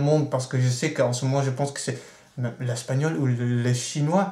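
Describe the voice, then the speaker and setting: A man's fairly high, somewhat breathy voice with a dark, mellow tone, at a moderate pace, with audible room echo. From Netherlands. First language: Dutch (speaking French). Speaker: vlogger. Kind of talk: video blog rant.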